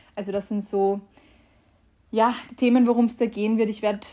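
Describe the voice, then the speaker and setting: The speaker sounds somewhat breathy, with monotone, flat intonation. The pace is moderate. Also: woman. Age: 20s. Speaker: podcast host and mental coach. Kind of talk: casual monologue. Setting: home, conservatory.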